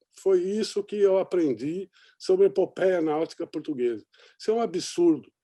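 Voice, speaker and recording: A man talks at a moderate pace with a high pitch and a dark, mellow tone. The background is quiet. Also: ordinary pitch variation. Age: 60s. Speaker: sailor and journalist, documentary maker. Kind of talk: panel discussion. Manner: hesitant, many fillers.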